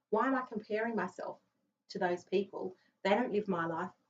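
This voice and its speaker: This woman speaks at a medium pitch. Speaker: financial adviser and business owner. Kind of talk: interview. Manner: loud; relaxed.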